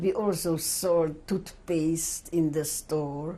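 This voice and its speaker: This woman speaks very slowly in a somewhat breathy, dark, mellow tone. Her intonation stays fairly even. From Czechoslovakia, Uzhhorod. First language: not English. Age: 70s. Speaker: Holocaust survivor. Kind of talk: testimony. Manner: halting.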